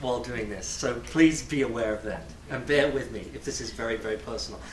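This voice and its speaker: Speaking at a moderate pace with an English accent, the man is heard over noticeable background noise and audible room echo. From England. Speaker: graduate student. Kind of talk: personal talk to a community audience.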